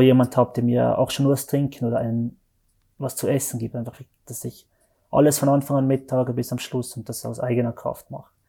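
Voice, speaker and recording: This man's medium-pitched voice is somewhat breathy, with a dark, mellow tone and monotone, flat intonation, delivered at a moderate pace in a very clean recording with a silent background. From Switzerland, Valais (Zermatt). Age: 30s. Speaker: mountain guide and speed mountaineer. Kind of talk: interview. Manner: halting, many fillers.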